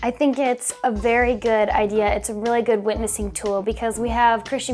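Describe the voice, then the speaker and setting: Music plays in the background as a woman talks at a fairly quick pace. Her fairly high voice stays monotone and flat. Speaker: voice actor. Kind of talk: interview. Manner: fast.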